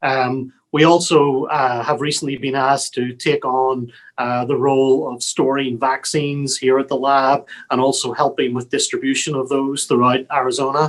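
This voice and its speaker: A man with a Northern Irish accent, medium pitch, flat monotone intonation and a moderate pace, on a very clean recording with a silent background. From Northern Ireland, Belfast. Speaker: public health lab director. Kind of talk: interview. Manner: hesitant, many fillers.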